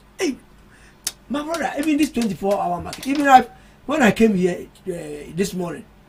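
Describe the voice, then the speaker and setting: A man speaks at an extremely high pitch with very wide pitch swings. His pace is moderate, and background noise is noticeable. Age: 70s. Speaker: political party communicator and football journalist. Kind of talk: radio panel discussion.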